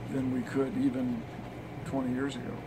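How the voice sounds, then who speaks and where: Noticeable background noise runs through the clip. The speech moves at a moderate pace. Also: man. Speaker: interviewee. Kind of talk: interview answer. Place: office. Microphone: handheld.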